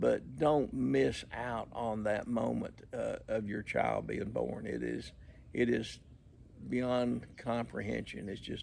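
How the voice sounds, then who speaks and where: A man speaks with a Southern US accent. His pace is very slow. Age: 60s. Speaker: vlogger. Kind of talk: casual chat. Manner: halting, many repetitions and fillers.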